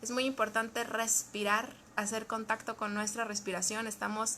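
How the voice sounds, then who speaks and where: Her intonation stays monotone and flat. This woman's pitch sits fairly high. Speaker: psychologist or therapist. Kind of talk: live stream talk. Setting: Facebook live video. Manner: fast.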